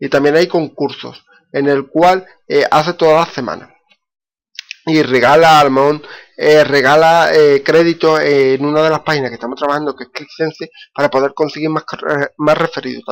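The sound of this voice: A man speaks at a moderate pace with fairly even intonation. His pitch sits fairly high.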